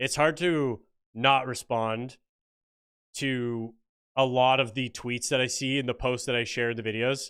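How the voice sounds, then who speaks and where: A man with a Canadian accent speaks in a bright, sharp tone in a very clean recording with a silent background. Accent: mild Canadian, sounds fairly American. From Canada, Ontario. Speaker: political commentary YouTuber. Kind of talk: livestream chat reading viewer comments. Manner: casual, joking.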